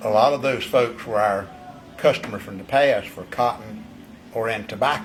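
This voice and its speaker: Music plays behind a man speaking at medium pitch and a moderate pace. His pitch variation is ordinary, but his loudness swings widely. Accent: eastern North Carolina. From North Carolina, Bladen County. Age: 70s. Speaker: vineyard owner. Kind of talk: interview. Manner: halting, many repeated words.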